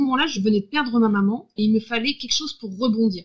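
With ordinary pitch variation, a woman speaks very fast. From Brittany, France. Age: 30s. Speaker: creative facilitator and coach. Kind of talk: interview. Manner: halting, many repetitions and fillers.

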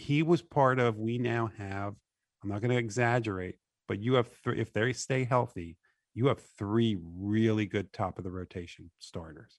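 A man with medium pitch and a normal speaking voice talks at a moderate pace with ordinary pitch variation. The sound is dry and close with no echo, against a quiet background. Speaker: sports radio co-host. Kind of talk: sports talk radio show.

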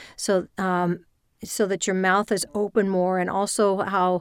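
The recording is very clean, with a silent background. A woman talks at a medium pitch with fairly even intonation. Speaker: voice actor and voiceover coach. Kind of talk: interview conversation. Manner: fast talker.

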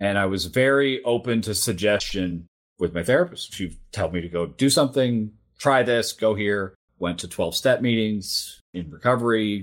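On a very clean recording with a silent background, an ordinary speaking voice talks at a moderate pace with ordinary pitch variation. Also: man, fairly low pitch for a man. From Japan (American missionary community, Tokyo). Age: 40s. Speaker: ethical hacker and cybersecurity speaker. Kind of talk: interview conversation.

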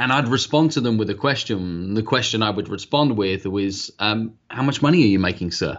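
A man with a British accent at a fairly quick pace, medium in pitch, with ordinary pitch variation. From UK. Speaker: sales trainer and author. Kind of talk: interview.

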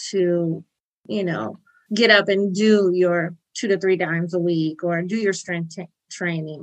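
With a normal speaking voice, a woman talks at a moderate pace using ordinary pitch variation. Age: 40s. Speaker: retired Air Force master sergeant. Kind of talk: casual chat interview.

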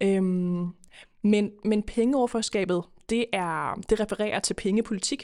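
A woman speaks in a normal speaking voice at medium pitch and a fairly slow pace. Her intonation is fairly even, and the recording is very clean with a silent background. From Denmark, Køge (Zealand). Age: 20s. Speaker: politician. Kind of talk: podcast interview. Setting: studio.

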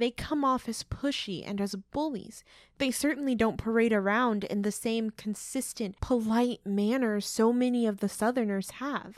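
An unremarkable speaking voice belongs to a woman with an American accent, fairly high in pitch with ordinary pitch variation. She keeps a moderate pace with hardly any pauses on a very clean recording with a silent background. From Oklahoma. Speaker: podcast co-host. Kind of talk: scripted podcast discussion.

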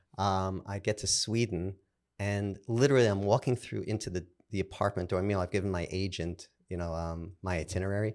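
With a Brooklyn accent, a man talks at a fairly quick pace, his fairly low pitch carried on fairly even intonation. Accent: New York, Brooklyn. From Brooklyn, New York. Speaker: podcast host and showrunner. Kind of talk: interview conversation.

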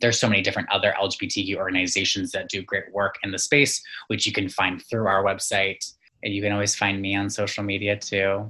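His voice is fairly low in pitch, with a bright, sharp tone and monotone, flat intonation. The man talks fairly quickly against a quiet background. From Ontario, Canada. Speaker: LGBTQ rights activist. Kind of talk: casual interview.

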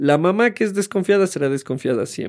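A man is speaking. His intonation is lively. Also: very clean recording, silent background. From Ecuador. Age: 30s. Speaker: podcast co-host. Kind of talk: casual chat.

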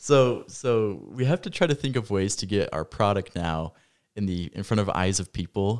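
With an American accent, a man talks at a moderate pace in a fairly low pitch with lively intonation and a plain, everyday voice, recorded dry and close with no echo on a very clean recording with a silent background. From Idaho (Rexburg). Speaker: podcast co-host. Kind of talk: casual chat. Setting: studio in Rexburg.

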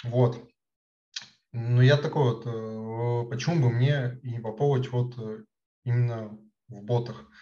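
A man's somewhat breathy voice with a dark, mellow tone, monotone and flat, at a very slow pace with long, frequent pauses and big swings in loudness. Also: medium pitch for a man. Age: 20s. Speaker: chatbot developer. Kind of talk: interview. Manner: halting, many filler words.

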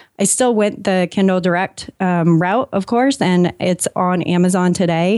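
Speaking fairly slowly with hardly any pauses, a woman with a Californian accent keeps a medium pitch and ordinary pitch variation on a very clean recording with a silent background. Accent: Californian American. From US West Coast, San Diego, California. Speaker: content marketer and author. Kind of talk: interview.

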